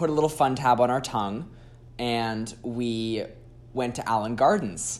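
Speaking at a medium pitch in a normal speaking voice, a man goes at a fairly slow pace with ordinary pitch variation. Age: 20s. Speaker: sex worker and content creator. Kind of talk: casual chat.

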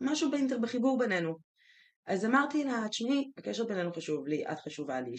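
Vocal fry runs through a woman's voice as her pitch swings very widely. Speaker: podcast co-host. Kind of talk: casual chat. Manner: dominant, leading.

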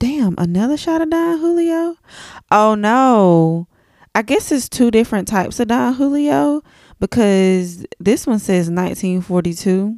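With an animated tone, a woman speaks at a fairly slow pace and fairly high pitch, with very wide pitch swings, in a very clean recording with a silent background. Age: 30s. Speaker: podcast host. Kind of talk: casual monologue storytelling.

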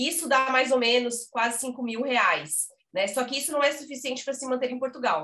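A woman's raised, projected voice, high in pitch, with ordinary pitch variation and a moderate pace. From Brazil, Blumenau (Santa Catarina). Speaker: journalist, emigration website co-founder. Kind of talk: casual interview.

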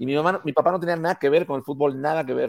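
Spoken in a Mexican accent, the voice shows ordinary pitch variation. The sound is dry and close with no echo, on a very clean recording with a silent background. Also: man. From Mexico. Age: 50s. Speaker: advertising executive. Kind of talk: casual chat.

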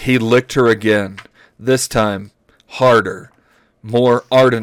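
Intonation is fairly even in a natural reading voice. Nothing intrudes from the quiet background.

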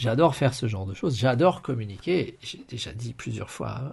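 A man speaks with a somewhat breathy voice and lively intonation. The background is quiet. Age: 50s. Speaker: podcast host and financial/health coach. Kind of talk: live-stream monologue. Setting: live video stream.

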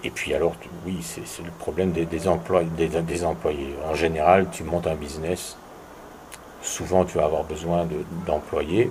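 A man with a very deep, low voice speaks at a fairly slow pace in a flat monotone. Long pauses come often, over noticeable background noise. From Belgium. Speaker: tourism entrepreneur. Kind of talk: interview. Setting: at host's home. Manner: hesitant, many repetitions.

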